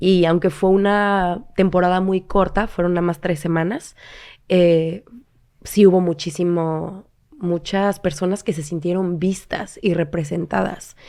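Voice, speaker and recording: Speaking at a fairly slow pace with fairly even intonation, a woman has a fairly low pitch and an unremarkable speaking voice, recorded very cleanly against a silent background. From Mexico, Cancún. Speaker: actress. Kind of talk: interview. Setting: studio.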